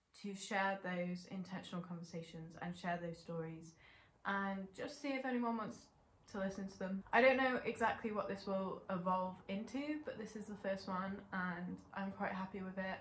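A woman speaks at a moderate pace with ordinary pitch variation, amid light background noise and audible room echo. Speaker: channel host. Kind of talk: casual vlog intro. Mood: warm, relaxed. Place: home room.

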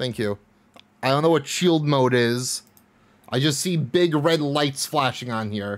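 Speaking at a fairly slow pace, a man keeps ordinary pitch variation. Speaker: game streamer. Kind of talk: casual stream chat. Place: home room. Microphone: studio mic.

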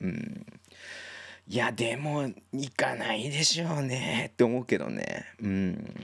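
With a medium pitch, a man talks at a very slow pace with very wide pitch swings, in a dry sound with no echo against a quiet background. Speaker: basketball league livestreamer; basketball live streamer. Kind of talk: casual live-stream commentary reading chat. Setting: solo live stream. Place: home room. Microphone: studio mic.

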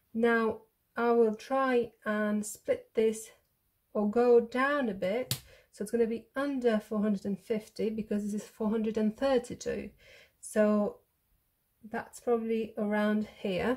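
The woman's voice is somewhat breathy, her pace fairly slow and her intonation monotone and flat. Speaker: maths teacher. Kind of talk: tutorial.

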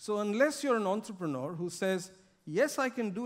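Over a quiet background, a man speaks at a fairly slow pace. His pitch swings very widely. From India. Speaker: corporate sustainability director; conference speaker. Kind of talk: keynote speech. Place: stage.

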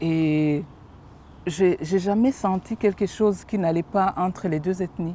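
A woman speaks at a very slow pace in a dark, mellow tone with ordinary pitch variation. The sound is dry with no echo, over light background noise. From Rwanda. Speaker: witness giving testimony. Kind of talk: testimony in interview. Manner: halting, hesitant. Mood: serious, reflective. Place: garden.

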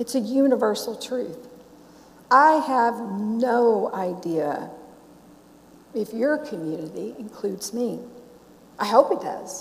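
A woman with an American accent and a fairly high pitch, very slow pace, lively intonation and long, frequent pauses. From US South, Memphis; Tennessee. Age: 60s. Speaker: Sikh minister. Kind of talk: sermon. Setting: church with congregation. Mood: warm, reflective.

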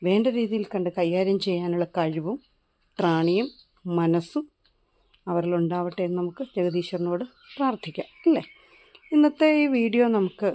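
A woman speaks with a dark, mellow tone at a medium pitch. Her intonation is lively. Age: 40s. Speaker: YouTube gardening vlogger, plant seller. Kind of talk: casual vlog talk. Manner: chatty, conversational.

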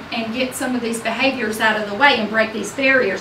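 Background noise is clearly audible. Through it comes a woman's speech. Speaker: school administrator reporting to school board. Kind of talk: informal spoken report, rambling. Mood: upbeat, enthusiastic. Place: meeting room.

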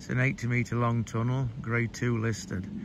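Noticeable background noise runs under a man's voice at a moderate pace. The sound is dry, with no echo. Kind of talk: informal spoken guide commentary. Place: open country. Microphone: phone near.

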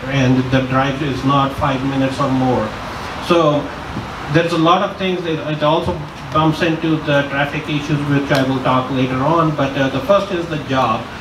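A man keeps a moderate pace and fairly even intonation while noticeable noise sounds in the background. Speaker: election candidate. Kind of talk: campaign speech.

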